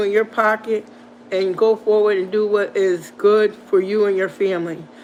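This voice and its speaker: Noticeable background noise sits behind the speech. It moves at a moderate pace. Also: woman. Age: 60s. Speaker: motivational channel host. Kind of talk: livestream pep talk. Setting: live stream with chat. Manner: animated.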